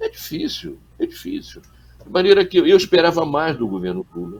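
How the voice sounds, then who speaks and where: A man is speaking. His pitch swings very widely. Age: 70s. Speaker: journalist and former political activist. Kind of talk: interview. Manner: halting, repeats words.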